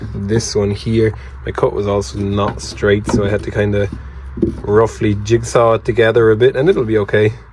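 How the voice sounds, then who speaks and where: With an Irish accent, a man speaks at a moderate pace and a fairly low pitch. His pitch varies in an ordinary way, and there is noticeable background noise. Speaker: leatherworker and DIY vlogger. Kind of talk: casual vlog. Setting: workshop. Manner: whispering.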